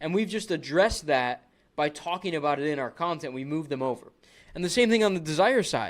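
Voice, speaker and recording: Animated tone and lively intonation at a fairly quick pace. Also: man, fairly high pitch for a man. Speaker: business coach, social media marketer. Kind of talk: tutorial. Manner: fast.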